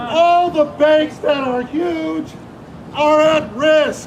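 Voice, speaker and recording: A loud man's voice, extremely high in pitch, rings out with audible room echo and noticeable background noise. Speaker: protester. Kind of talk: protest speech. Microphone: no microphone.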